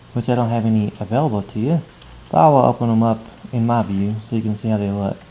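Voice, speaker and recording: Delivered at a very fast pace, the speech keeps a fairly even intonation. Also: man, medium pitch for a man. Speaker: math instructor. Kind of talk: tutorial.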